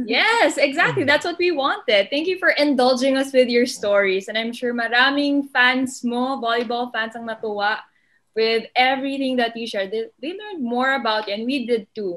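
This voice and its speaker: A woman with a Filipino accent, high in pitch, with lively intonation at a moderate pace against a quiet background. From Philippines. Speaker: sports podcast host. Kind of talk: casual interview. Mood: warm, smiling. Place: home room. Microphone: webcam.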